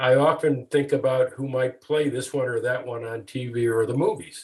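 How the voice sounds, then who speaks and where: A somewhat breathy voice at a moderate pace. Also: man. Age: 70s. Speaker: retired lawyer turned author. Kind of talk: interview. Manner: halting, many fillers and repeats.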